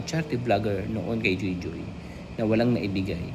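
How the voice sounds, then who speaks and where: Soft-spoken at a moderate pace, the voice comes through noticeable background noise and audible room echo. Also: man. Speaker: YouTube vlogger. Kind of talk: reaction commentary. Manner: halting.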